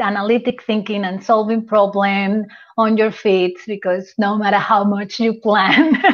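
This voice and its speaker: A voice speaking at a very slow pace with fairly even intonation. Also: woman. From Venezuela. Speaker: business coach, former civil engineer. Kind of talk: interview.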